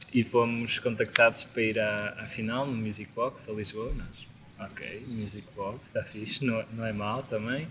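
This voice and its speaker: A man talks at a fairly slow pace, hardly pausing, in a monotone, flat intonation. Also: medium pitch for a man. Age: 20s. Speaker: band vocalist and guitarist. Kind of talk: casual chat. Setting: outdoors in a garden.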